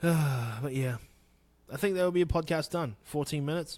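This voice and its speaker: The voice moves at a moderate pace with ordinary pitch variation, on a very clean recording with a silent background. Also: man. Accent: New Zealand. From New Zealand, Wanganui. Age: 30s. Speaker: podcast host. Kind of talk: casual solo podcast talk.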